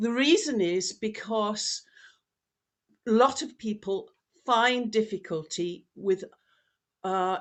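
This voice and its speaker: At a very slow pace, a woman with a British accent talks at a fairly high pitch. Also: quiet background. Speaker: professor. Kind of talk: lecture.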